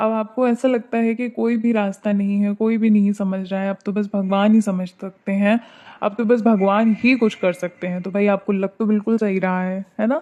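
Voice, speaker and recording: A woman speaks in a medium pitch with a dark, mellow tone and monotone, flat intonation. She keeps a moderate pace over a quiet background. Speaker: tarot card reader. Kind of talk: tarot reading. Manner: soft-spoken.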